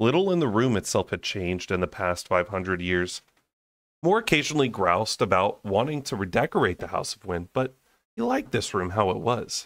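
Over a silent background in a very clean recording, a man with a fairly low pitch speaks in a plain, everyday voice. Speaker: audiobook reader and book-club channel host. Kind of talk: dramatic narration of a fantasy novel, brooding and intense. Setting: home recording, raw unedited audio. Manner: casual, chatty and laughing in between-chapter banter.

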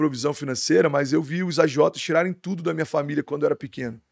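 Over a quiet background with dry sound and no echo, a man with a fairly high pitch speaks very fast and with fairly even intonation. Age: 30s. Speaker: pastor. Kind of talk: casual interview chat. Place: studio. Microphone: studio mic.

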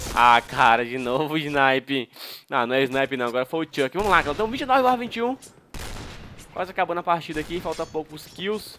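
This man talks at a moderate pace in a bright, sharp, animated tone, his pitch swinging very widely, with a dry, close sound and no echo. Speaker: gaming youtuber. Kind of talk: gameplay commentary.

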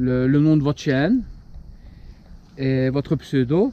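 A man with a dark, mellow tone talks at a fairly slow pace, the sound dry with no echo. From Belgium. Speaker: paranormal urbex YouTuber. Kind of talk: casual channel update vlog. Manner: hesitant, many fillers. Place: open country. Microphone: lapel.

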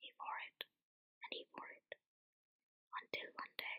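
Someone is whispering. The pace is very slow. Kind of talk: sleep story narration. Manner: whispered, soft-spoken.

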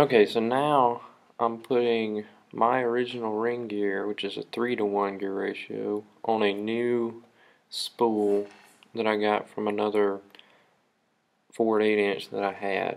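A man at a fairly low pitch, monotone and flat in intonation, at a fairly slow pace with long, frequent pauses. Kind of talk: tutorial. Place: garage. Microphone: phone near.

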